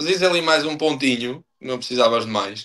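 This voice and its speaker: Ordinary pitch variation and a moderate pace from a man pitched fairly high. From Portugal, Estarreja (Aveiro district). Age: 30s. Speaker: professional footballer. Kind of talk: podcast interview. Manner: hesitant, many fillers and repetitions.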